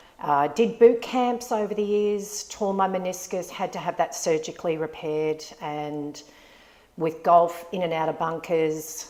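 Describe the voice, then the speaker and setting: Over noticeable background noise, a woman with a fairly low voice talks at a fairly slow pace with ordinary pitch variation. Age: 50s. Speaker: nurse, gym member. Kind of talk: casual interview chat.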